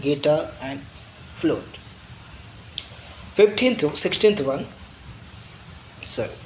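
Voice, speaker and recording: With audible room echo and noticeable background noise, a man speaks in a fairly high pitch. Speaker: physics teacher. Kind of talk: lecture.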